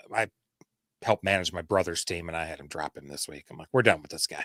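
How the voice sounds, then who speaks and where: In a Michigan accent, a man speaks with a dry, close sound that has no echo. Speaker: fantasy football co-host. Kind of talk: casual live-stream chat; scripted segment reading. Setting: live stream.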